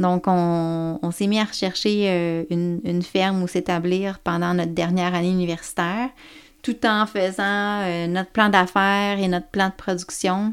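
A woman at medium pitch, fairly slow and fairly even in intonation, on a very clean recording with a silent background. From Quebec, Côte-Nord. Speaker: organic farmer and farm organization president. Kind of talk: interview. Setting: at the farm. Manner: hesitant, many fillers.

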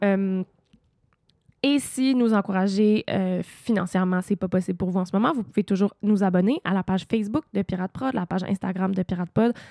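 A woman's medium-pitched voice with a dark, mellow tone, ordinary pitch variation and a fairly quick pace, on a very clean recording against a silent background. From Quebec, Eastern Townships (Sutton). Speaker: podcast host. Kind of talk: casual interview.

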